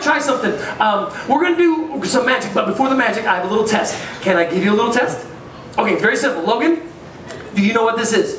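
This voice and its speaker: Audible room echo surrounds a man's voice. There is light background noise. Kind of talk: comedy stage patter. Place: stage.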